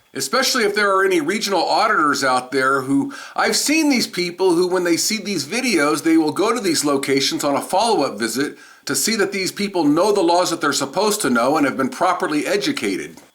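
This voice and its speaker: Over noticeable background noise, a man with a high pitch talks at a fairly quick pace with hardly any pauses, very wide pitch swings and very even loudness. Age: 60s. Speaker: citizen journalist, police auditor. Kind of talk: voiceover commentary.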